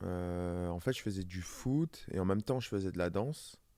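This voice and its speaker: A man talks with ordinary pitch variation in an ordinary speaking voice. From southern France, Var. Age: 30s. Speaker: professional dancer and model. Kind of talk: casual interview.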